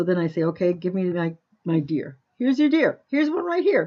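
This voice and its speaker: A woman speaks at a moderate pace with lively intonation and a medium pitch. It's a normal speaking voice. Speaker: crafting tutorial maker. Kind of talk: screen-recorded tutorial. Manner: casual, with fillers.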